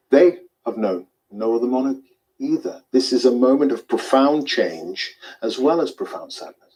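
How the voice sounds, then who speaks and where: A British accent carries speech delivered at a moderate pace. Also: man. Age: 50s. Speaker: news anchor. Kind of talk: news reading. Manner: formal.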